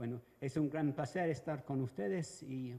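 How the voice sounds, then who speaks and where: A man with a Venezuelan accent and a dark, mellow tone. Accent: Venezuelan-tinged Spanish. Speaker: evaluation expert, panelist. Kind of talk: conference talk.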